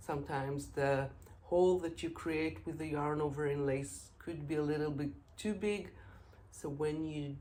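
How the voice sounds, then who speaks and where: With an Israeli accent, a woman speaks at a moderate pace in a very deep, low pitch with ordinary pitch variation, and audible room echo surrounds her. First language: Hebrew. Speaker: knitting podcaster. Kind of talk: casual podcast monologue. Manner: halting, many filler sounds.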